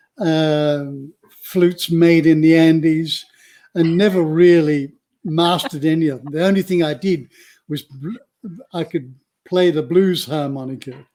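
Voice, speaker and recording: Dark and mellow in tone, a man talks fairly slowly at a fairly high pitch, keeping his intonation fairly even. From England, moved to Australia as a young teenager. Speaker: author and retreat centre founder. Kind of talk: interview conversation.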